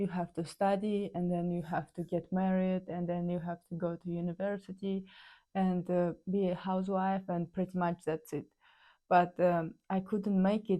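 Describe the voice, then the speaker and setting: In a Kazakh accent, a woman speaks at a moderate pace with a medium pitch, a dark, mellow tone and monotone, flat intonation, on a very clean recording with a silent background. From Kazakhstan. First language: Kazakh or Russian. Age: 30s. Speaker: ice hockey player. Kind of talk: personal storytelling. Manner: halting, many fillers.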